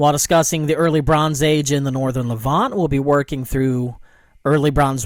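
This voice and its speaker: A man's fairly high voice in a very clean recording with a silent background. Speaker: history professor. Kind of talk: lecture. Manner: trying to slow down.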